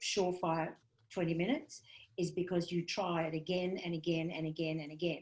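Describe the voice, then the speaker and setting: Fairly low in pitch, a woman talks at a fairly quick pace in a monotone, flat intonation. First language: not English. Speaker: comedian and comedy writing teacher. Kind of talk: workshop lecture.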